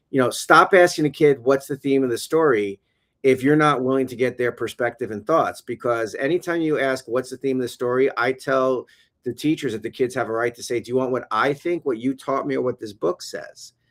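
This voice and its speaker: A man speaks at a fairly quick pace in a medium pitch with a New York accent and ordinary pitch variation. The recording is very clean with a silent background and a dry, close sound with no echo. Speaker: education consultant and former teacher. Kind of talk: casual interview on a livestream. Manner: animated.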